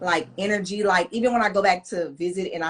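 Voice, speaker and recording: Fairly quick female speech with ordinary pitch variation. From Los Angeles, California. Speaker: podcast host. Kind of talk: casual chat.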